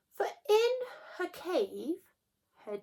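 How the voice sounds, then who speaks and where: Speaking very slowly, a woman puts on a character voice. Her pitch is extremely high. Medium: read story. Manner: polite, persuasive.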